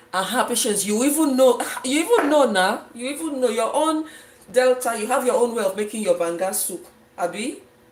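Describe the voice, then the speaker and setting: A woman's high voice in a Nigerian accent, with lively intonation, a moderate pace and noticeable background noise. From Nigeria, Efik region (southeast). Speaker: cooking livestreamer. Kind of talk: live cooking stream, casual chat with viewers.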